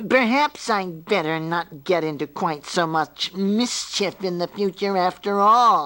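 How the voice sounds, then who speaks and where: A man puts on a character voice pitched high with ordinary pitch variation. He goes fairly slowly with hardly any pauses. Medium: read story. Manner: giggly, impish.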